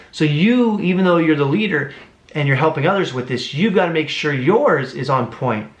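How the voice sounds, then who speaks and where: Amid noticeable background noise and audible room echo, a man with a fairly high pitch speaks at a moderate pace in an animated tone with lively intonation. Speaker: book reviewer. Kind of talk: book review monologue.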